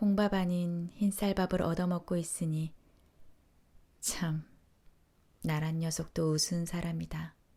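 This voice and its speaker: A woman speaks at a very slow pace and fairly low pitch, with a dark, mellow, calm, soothing tone. Her intonation is monotone and flat, her loudness very even, with long, frequent pauses. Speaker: audiobook narrator. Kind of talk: essay reading.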